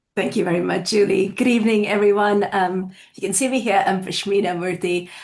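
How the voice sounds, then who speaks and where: A woman speaks with fairly even intonation. Audible echo fills the room. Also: medium pitch for a woman, fairly quick pace. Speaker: college faculty administrator. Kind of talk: presentation. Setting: video call. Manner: serious.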